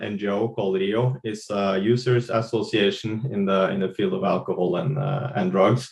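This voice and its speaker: A man with a Norwegian accent at a moderate pace. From Norway. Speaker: drug policy advocate. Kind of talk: webinar panel talk. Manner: halting.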